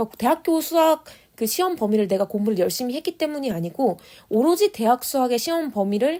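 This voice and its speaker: A woman's high, dark, mellow voice with very wide pitch swings at a fairly quick pace, on a very clean recording with a silent background. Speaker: exam prep coach / channel host. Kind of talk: lecture-style monologue. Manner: fast.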